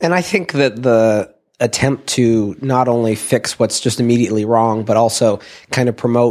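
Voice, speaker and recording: Fairly even intonation marks this man's talking. He has a plain, everyday voice, pitched at a medium level. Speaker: interviewer. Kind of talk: interview questions.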